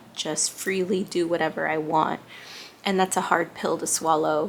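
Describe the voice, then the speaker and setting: A woman speaks quietly with fairly even intonation. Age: 30s. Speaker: lifestyle vlogger. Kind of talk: casual vlog monologue. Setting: small apartment bedroom.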